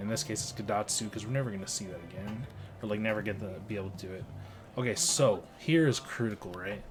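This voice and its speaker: Speaking at a fairly quick pace, a man keeps a fairly low pitch. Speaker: card game player and content creator. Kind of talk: gameplay voiceover commentary. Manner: casual, filler-heavy.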